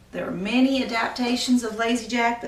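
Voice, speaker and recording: Over noticeable background noise, a woman with a fairly high pitch speaks at a fairly quick pace. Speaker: storyteller, graduate student. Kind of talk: casual introduction to camera.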